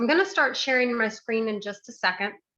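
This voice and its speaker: A woman speaks with a bright, sharp tone and a fairly high pitch, using ordinary pitch variation. Her pace is moderate, and the background is quiet. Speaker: educator and speaker. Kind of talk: presentation to audience. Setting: video call. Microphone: close to the computer.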